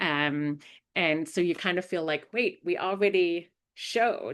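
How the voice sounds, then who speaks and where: A woman speaks at a fairly slow pace with a strong German accent and ordinary pitch variation. The background is quiet. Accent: thick German. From Germany. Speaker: investigative journalist. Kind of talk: webinar presentation. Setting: online webinar. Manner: many fillers and hesitations.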